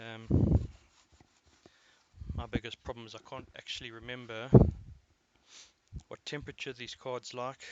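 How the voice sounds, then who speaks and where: A man speaks in a flat monotone. His pace is moderate. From South Africa. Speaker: competitive overclocker streaming a session. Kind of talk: live stream commentary, thinking aloud. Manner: mumbling at times; casual, halting with fillers.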